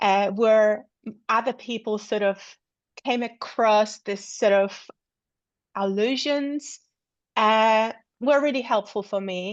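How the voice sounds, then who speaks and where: Against a quiet background, a woman with a Polish accent speaks very slowly in a fairly high pitch, with ordinary pitch variation and long, frequent pauses. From Poland. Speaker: researcher. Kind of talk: academic seminar Q&A. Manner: halting.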